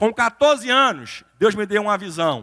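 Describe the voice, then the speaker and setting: A man with a high pitch speaks in a raised, projected voice, bright and sharp in tone. His intonation is lively and his pace fairly slow. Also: dry, close sound with no echo. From Brazil, Recife (Pernambuco). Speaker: pastor and lawyer, motivational speaker. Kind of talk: motivational sermon-style talk. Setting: church stage with audience.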